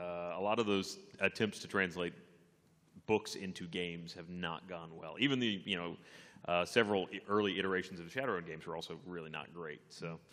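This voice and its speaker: A man's very deep, low voice with fairly even intonation. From Texas. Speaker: gaming web show panelist; panelist. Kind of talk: live convention panel chat. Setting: stage with audience. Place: hall. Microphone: podium.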